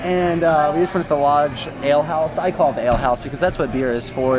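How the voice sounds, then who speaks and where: Over background music, with audible room echo, the speaker rushes along at a very fast pace using ordinary pitch variation. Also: man. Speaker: vlogger. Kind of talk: casual vlog chat. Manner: loud, projecting; animated.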